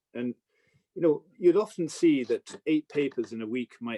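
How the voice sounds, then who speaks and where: A man with an Irish accent and a dark, mellow tone talks at a fairly quick pace with lively intonation, in a dry, close sound with no echo. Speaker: newspaper editor and business commentator. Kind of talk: Q&A talk. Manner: halting, many repetitions.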